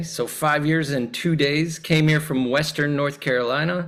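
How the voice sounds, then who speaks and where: With an American accent, a man speaks in a fairly high pitch. His tone is bright and sharp. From US Midwest, Chicago area. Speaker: priest, clergy nominee. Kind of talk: candidate self-introduction at a meeting. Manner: casual, friendly.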